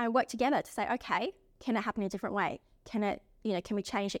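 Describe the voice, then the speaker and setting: A woman talks at a fairly quick pace with ordinary pitch variation in a very clean recording with a silent background and a dry, close sound with no echo. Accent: Australian. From South Australia. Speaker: lawyer. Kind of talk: interview. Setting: recording on location.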